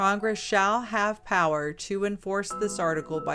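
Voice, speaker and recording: Over music in the background, a woman speaks in a calm tone with ordinary pitch variation. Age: middle-aged. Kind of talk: document reading. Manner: calm, clear, articulate.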